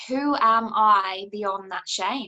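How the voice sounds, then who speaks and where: A woman speaks with a New Zealand accent at a fairly high pitch. Her tone is bright and sharp, with ordinary pitch variation. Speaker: coach and author. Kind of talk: interview answer.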